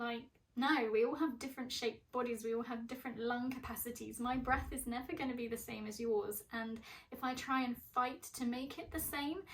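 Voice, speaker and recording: A woman with an English accent, high pitch, fairly even intonation and a fairly quick pace. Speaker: mental health vlogger. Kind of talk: personal vlog. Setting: bedroom at parents' home.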